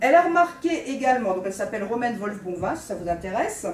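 Over light background noise and audible room echo, a woman with a high pitch talks at a moderate pace with lively intonation. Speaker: lecturer on medieval texts. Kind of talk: lecture. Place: classroom. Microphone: camera far.

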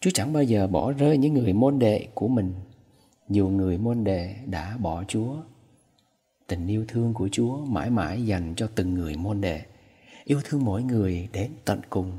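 Fairly low in pitch and dark and mellow in tone, this man's somewhat breathy voice moves at a fairly slow pace with lively intonation. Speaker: priest. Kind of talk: homily.

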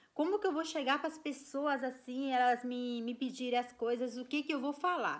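Against a quiet background, a woman with a Brazilian accent speaks in a raised, projected voice, her tone animated, bright and sharp, her pitch high and her pace moderate. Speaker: vlogger. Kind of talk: casual storytelling vlog. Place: home room. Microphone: phone near.

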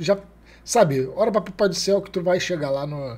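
Here a man talks at a fairly quick pace in a high voice. His intonation is lively. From Brazil. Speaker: biologist YouTuber reacting to a stand-up video. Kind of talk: reaction commentary riffing on a comedian's stand-up. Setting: reacting to a video clip. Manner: informal, animated, jokey with slang. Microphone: studio mic.

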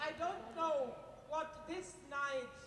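A high-pitched woman speaks with a German accent over light background noise, with audible room echo. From Germany. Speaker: politician. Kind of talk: speech. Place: stage.

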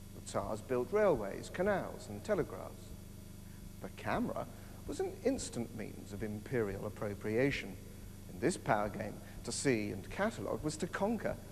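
A man at a moderate pace, with big swings in loudness and light background noise. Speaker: presenter. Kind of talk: documentary narration to camera. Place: hall.

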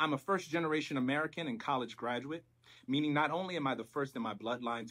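Over a quiet background, a man speaks at a very fast pace with ordinary pitch variation. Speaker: presenter. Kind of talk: academic presentation.

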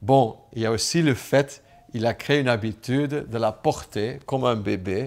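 A fairly slow-paced man, his pitch varying in an ordinary way. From Flanders, Belgium. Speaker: businessman. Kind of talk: personal testimony to camera. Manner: hesitant, many filler sounds. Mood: warm, reflective. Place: home room.

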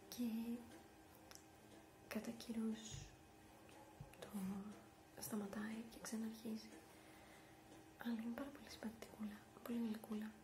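A soft-spoken, whispering woman at a fairly slow pace, with long, frequent pauses and noticeable background noise. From Greece. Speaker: ASMR vlogger. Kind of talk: ASMR rambling. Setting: office. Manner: soft-spoken, whispered. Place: home room. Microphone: webcam.

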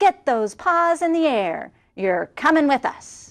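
In a put-on character voice, a woman speaks high and squeaky at a fairly slow pace. The recording is very clean, with a silent background. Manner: gruff, commanding.

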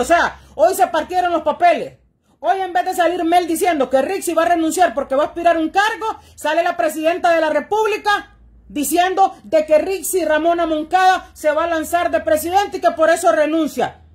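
The speaker uses an animated tone at a fairly quick pace against a quiet background. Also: woman. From Honduras. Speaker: political commentator. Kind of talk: political monologue. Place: home room. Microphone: phone near.

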